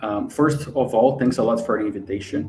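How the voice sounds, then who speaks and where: A man speaks with a Brazilian accent in a somewhat breathy voice. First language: Portuguese. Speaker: customer experience executive. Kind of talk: live webinar interview. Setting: livestream.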